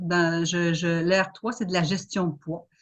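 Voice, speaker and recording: Against a quiet background, a somewhat breathy woman with a fairly low voice speaks at a fairly slow pace. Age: 50s. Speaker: home business seller. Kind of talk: self-presentation in online panel.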